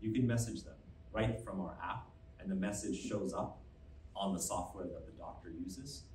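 With an American accent, a man speaks at a moderate pace in a fairly low pitch and lively intonation, amid light background noise and audible room echo. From US. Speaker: medtech company founder and CEO; presenter. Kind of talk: press conference presentation. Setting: stage with audience. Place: hall.

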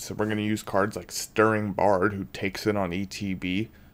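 This man speaks at a moderate pace with a fairly low pitch and fairly even intonation. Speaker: card game deck reviewer. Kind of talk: casual talk to camera. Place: home room.

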